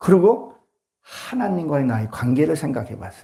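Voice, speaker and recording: A fairly slow man's voice with vocal fry and a dark, mellow tone, pitch swinging very widely, with audible room echo. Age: 60s. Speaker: pastor. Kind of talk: sermon.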